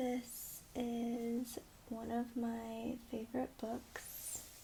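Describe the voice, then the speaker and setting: A woman speaks softly. Her pace is very slow. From Taiwan. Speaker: freelance voiceover artist. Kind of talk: casual talk to camera. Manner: soft-spoken.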